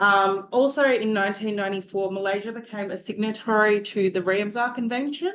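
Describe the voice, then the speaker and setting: The speaker is a woman with a medium pitch. Her intonation stays fairly even. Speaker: university student presenter. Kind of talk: student presentation.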